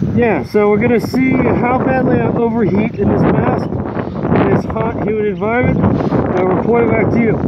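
Amid loud background noise, a man speaks with long, frequent pauses in a dry sound with no echo. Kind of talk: casual vlog commentary. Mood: hot, sweating, slightly strained. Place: beach. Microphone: earbuds.

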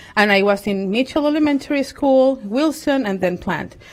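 A woman with a Spanish accent at a moderate pace. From Venezuela. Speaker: parent, public commenter. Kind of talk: public comment at a school board meeting. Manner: halting.

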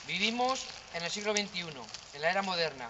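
Over noticeable background noise, a man with a high pitch and ordinary variation speaks at a fairly quick pace. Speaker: manifesto reader at a vigil. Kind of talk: public reading of a statement. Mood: solemn, serious. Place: street. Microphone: camera far.

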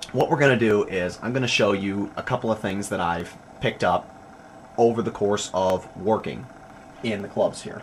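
A man with a plain, everyday voice speaks at a moderate pace and fairly low pitch. His pitch variation is ordinary, with light background noise. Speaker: club DJ. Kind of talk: tutorial. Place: home room.

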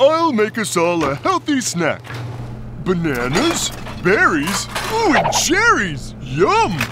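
A man's cartoonish character voice at a fairly slow pace, with clear background noise. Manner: cheerful, bubbly.

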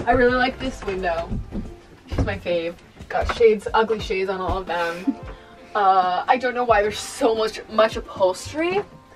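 The pace of this woman's speech is moderate. Behind her, music can be heard clearly. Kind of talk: casual vlog chat. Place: home room. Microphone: camera far.

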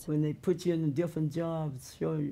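A woman with a Southern US accent, her pitch very deep and low, with a dark, mellow tone and a moderate pace. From Mississippi. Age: 80s+. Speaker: retired railroad porterette. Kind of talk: interview answer. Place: home room.

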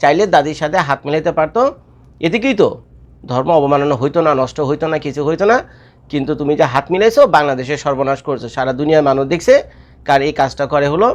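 Here is a man with a plain, everyday voice. His pitch is fairly high, with ordinary pitch variation. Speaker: YouTube commentator. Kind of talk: casual video commentary.

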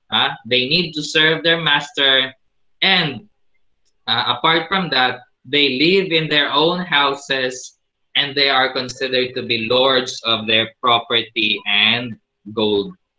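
A man at medium pitch, with ordinary pitch variation and a very slow pace. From Philippines. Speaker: teacher. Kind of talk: lecture. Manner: hesitant with fillers. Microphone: video call.

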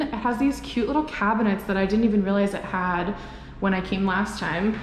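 Light background noise and audible room echo surround a woman's voice. She speaks at a moderate pace with ordinary pitch variation. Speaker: vlogger. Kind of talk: casual vlog chat. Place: empty room. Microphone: handheld.

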